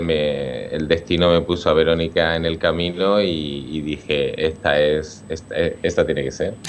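A man's very deep, low voice comes through with monotone, flat intonation. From Spain, Alicante province (San Fulgencio). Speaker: dance company director. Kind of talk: radio interview. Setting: remote connection. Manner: halting, with repetitions.

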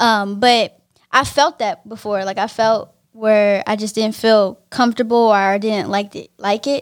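On a very clean recording with a silent background, a woman with a normal speaking voice and an American accent speaks fairly slowly at a fairly high pitch with fairly even intonation. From Pittsburgh, California (Bay Area). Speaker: songwriter, poet and podcast co-host. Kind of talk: casual chat.

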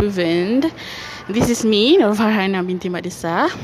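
A woman's medium-pitched voice with ordinary pitch variation, in a Malaysian accent, over noticeable background noise. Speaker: university student. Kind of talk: casual monologue. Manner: halting.

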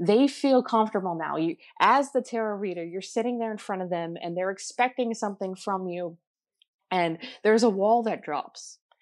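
A woman with an American accent has an unremarkable speaking voice, a medium pitch, ordinary pitch variation and a moderate pace, set against a quiet background. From New Jersey. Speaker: tarot reader and ghost tour guide. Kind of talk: interview.

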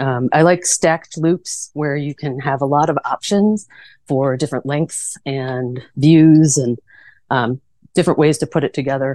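The tone is dark and mellow, with ordinary pitch variation and a fairly slow pace. The sound is dry and close with no echo, over a quiet background. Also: woman, very deep, low pitch for a woman. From US Midwest, Chicago suburbs. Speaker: trail designer. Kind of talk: casual interview. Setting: in a van.

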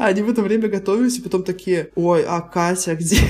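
A woman talks with ordinary pitch variation while noticeable noise sounds in the background. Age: 30s. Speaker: podcast co-host. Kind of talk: casual chat.

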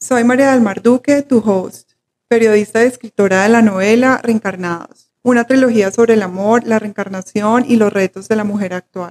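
Using an ordinary speaking voice, a woman talks at a moderate pace in a fairly high pitch with hardly any pauses. Her intonation is fairly even, and the sound is dry and close with no echo. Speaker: podcast host, journalist and novelist. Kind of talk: interview hosting.

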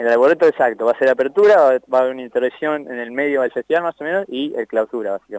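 Delivered at a very fast pace with lively intonation, the voice has a dry, close sound with no echo. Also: man, medium pitch for a man. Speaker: festival organizer. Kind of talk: phone interview.

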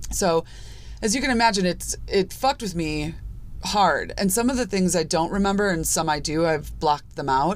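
A woman with an American accent uses lively intonation at a fairly low pitch, with vocal fry in her voice. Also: moderate pace. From US Midwest, Chicago suburbs. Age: 40s. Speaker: podcast host. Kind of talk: personal monologue podcast. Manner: casual, conversational.

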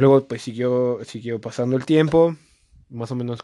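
A man speaks at a moderate pace with a dark, mellow tone and ordinary pitch variation. The sound is dry and close, with no echo. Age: 20s. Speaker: host's brother and producer. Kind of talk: casual chat.

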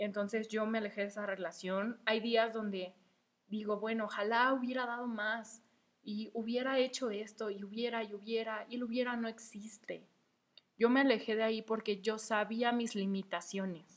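A woman's fairly high, flat, monotone voice at a moderate pace. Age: 20s. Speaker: podcast host. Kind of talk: casual monologue. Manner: hesitant, many fillers.

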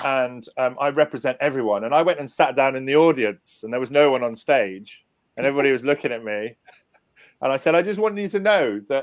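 A man speaks in a southern English accent at a fairly high pitch. His pace is fairly quick and his intonation lively. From southern England, Portsmouth. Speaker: seminar organiser. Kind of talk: radio interview.

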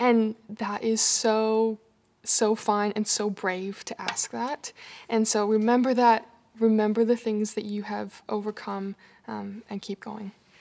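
The delivery is fairly slow, with a Canadian accent. Intonation stays monotone and flat. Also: woman, fairly high pitch for a woman. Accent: Canadian, noticeable. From Canada. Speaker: people and culture coordinator. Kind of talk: casual interview.

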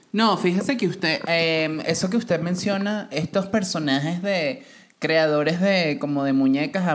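A woman with a fairly low pitch speaks at a fairly slow pace, her intonation lively. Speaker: podcast co-host. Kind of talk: casual chat. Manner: animated.

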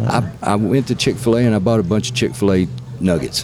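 A man with a Southern US accent talks at a very fast pace. Noticeable background noise is present. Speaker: podcast host. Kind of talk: casual interview chat. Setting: on location at venue.

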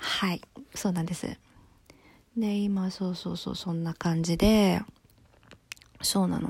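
Slow-paced and somewhat breathy, a woman at a medium pitch speaks in a monotone, flat way, leaving long, frequent pauses. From Japan. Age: 20s. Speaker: solo podcaster. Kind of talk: casual monologue. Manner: casual, chatty.

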